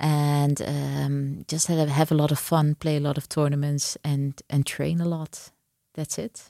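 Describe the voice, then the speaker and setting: In a Dutch accent, a dark, mellow voice speaks at a fairly slow pace with monotone, flat intonation, in a very clean, dry, close recording with a silent background and no echo. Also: woman, very deep, low pitch for a woman. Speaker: chess grandmaster. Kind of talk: interview; tutorial. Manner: halting.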